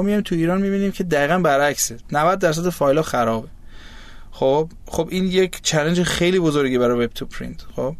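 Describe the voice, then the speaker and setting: The delivery is very fast. Pitch moves in an ordinary way. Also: man. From Germany. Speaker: startup founder and CEO. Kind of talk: interview.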